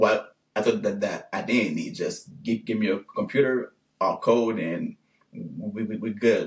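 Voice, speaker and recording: Speaking fairly slowly, a man has a Haitian accent. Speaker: engineer and business owner. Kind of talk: interview.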